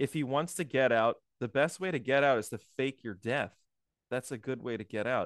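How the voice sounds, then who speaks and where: Speaking at a moderate pace in an unremarkable speaking voice, a man has medium pitch and ordinary pitch variation, with a dry, close sound with no echo and a quiet background. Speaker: podcast co-host. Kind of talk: casual chat.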